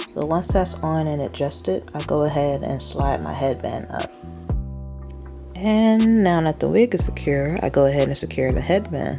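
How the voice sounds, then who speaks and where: Over background music, a woman talks at a moderate speed. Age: 20s. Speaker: photographer. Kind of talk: hair tutorial voice-over. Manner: casual.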